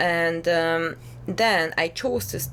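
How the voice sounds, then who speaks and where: A woman speaks with lively intonation. Her pitch sits fairly low. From Hungary. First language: Hungarian. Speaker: singer-songwriter. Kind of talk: casual interview chat. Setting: drinking rum during chat. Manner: hesitant, many fillers.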